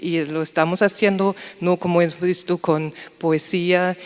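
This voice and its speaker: A woman speaks in a German accent at a fairly low pitch. Her intonation stays fairly even over noticeable background noise. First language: German (speaking Spanish). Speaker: university researcher. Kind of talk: panel discussion. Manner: slightly halting.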